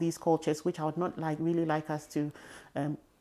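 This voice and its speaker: With an African accent, a woman speaks at a fairly low pitch in a monotone, flat intonation. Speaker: podcast host. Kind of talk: interview.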